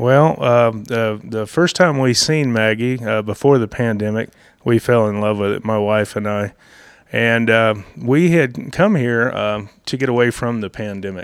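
Talking at a fairly slow pace, a man speaks with an Appalachian accent. His pitch variation is ordinary. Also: medium pitch for a man. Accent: Southern Appalachian American. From US South, North Georgia mountains. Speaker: fly shop owner and fishing guide. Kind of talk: casual interview. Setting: in a fly shop.

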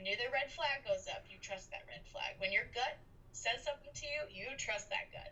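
Against noticeable background noise, a woman with an American accent talks at a moderate pace. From Boston, Massachusetts. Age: 20s. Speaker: professional medium. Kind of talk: interview.

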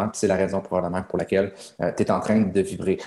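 A man speaks at a moderate pace in a Quebec accent. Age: young. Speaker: business coach. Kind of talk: coaching session. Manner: animated.

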